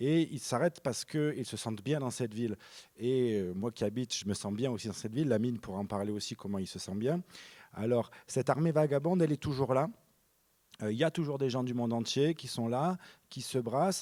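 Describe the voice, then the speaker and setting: Speaking with a Marseille accent, a man uses a dark, mellow tone at a fairly quick pace on a very clean recording with a silent background. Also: medium pitch for a man, ordinary pitch variation. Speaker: film director. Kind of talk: panel discussion. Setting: stage with audience. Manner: halting, many repetitions; low energy.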